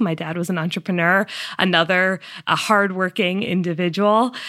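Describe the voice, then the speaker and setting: A woman talks at a moderate pace with a medium pitch and ordinary pitch variation. The recording is very clean, with a silent background. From Massachusetts, US. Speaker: climate tech startup founder and CEO. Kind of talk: interview.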